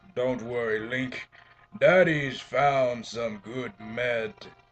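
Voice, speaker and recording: Put-on character voice, delivered very slowly. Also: man, medium pitch for a man. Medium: game stream. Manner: grave, measured.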